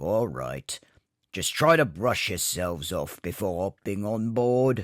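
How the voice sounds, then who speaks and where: A man's raspy, fairly low put-on character voice, fairly slow, with very wide pitch swings and a dry, close sound with no echo. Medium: machinima. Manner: gruff, scolding.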